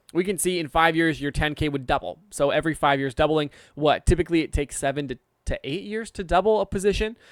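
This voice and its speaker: Talking at a very fast pace with an American accent, a man with a fairly high pitch and ordinary pitch variation comes through in a very clean, silent-background recording with a dry, close sound and no echo. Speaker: investing YouTuber. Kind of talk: finance tutorial. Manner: casual, chatty.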